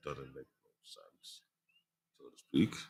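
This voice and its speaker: A man speaks with vocal fry. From Africa. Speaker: livestreamer, anime reviewer. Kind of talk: casual livestream chat.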